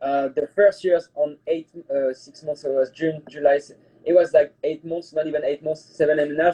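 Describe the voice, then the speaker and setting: The voice has a French accent and a dark, mellow tone, with monotone, flat intonation. Loudness swings widely, and the sound is dry and close with no echo. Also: man, fairly high pitch for a man, moderate pace. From France. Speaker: private chef. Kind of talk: casual interview chat. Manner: halting, many fillers.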